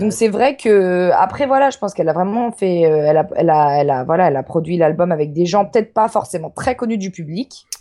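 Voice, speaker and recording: A woman speaks fairly quickly at a medium pitch in a dark, mellow tone. Her intonation is lively, with hardly any pauses. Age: 20s. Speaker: university student. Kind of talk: casual chat. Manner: halting.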